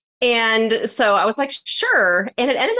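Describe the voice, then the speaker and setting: A woman talks with an American accent. The background is quiet. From Iowa, US. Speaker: business coach. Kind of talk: casual interview.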